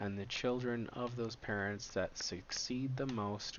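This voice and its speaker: A man at a fairly slow pace, his intonation fairly even. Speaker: startup founder presenting research. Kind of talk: slide presentation. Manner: monotone; filler-heavy, halting.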